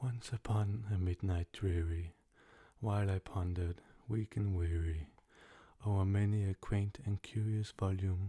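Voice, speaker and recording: A soft-spoken man talks fairly slowly at a very deep, low pitch, his tone dark, mellow and somewhat breathy, with fairly even intonation. The recording is very clean with a silent background and a dry, close sound with no echo. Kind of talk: ASMR poetry reading.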